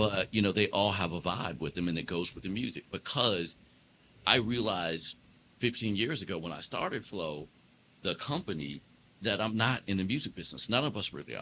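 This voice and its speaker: Lively intonation marks this man's fairly quick speech. His fairly low pitch has a bright, sharp tone and a slight DC accent. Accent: slight DC twang. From Washington DC. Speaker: jazz keyboardist and entrepreneur. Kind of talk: casual interview chat.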